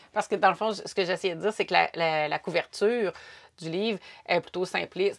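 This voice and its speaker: A woman with a Quebec accent talks at a fairly quick pace in a medium pitch with fairly even intonation, on a very clean recording with a silent background. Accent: Québécois French. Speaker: podcast host. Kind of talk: casual chat.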